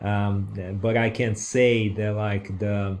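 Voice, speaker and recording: A man with a Brazilian accent talks at a fairly low pitch on a very clean recording with a silent background. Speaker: online course creator. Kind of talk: course lecture. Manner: halting, many fillers.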